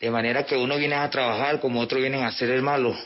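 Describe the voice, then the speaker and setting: A man with a Venezuelan accent talks at a very fast pace with fairly even intonation. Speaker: refugee. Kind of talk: testimony. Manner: halting.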